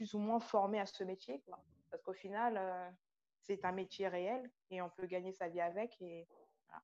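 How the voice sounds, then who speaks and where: A woman speaks at a fairly slow pace with ordinary pitch variation. She has a plain, everyday voice. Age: 20s. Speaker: childcare assistant and aspiring model. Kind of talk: testimony.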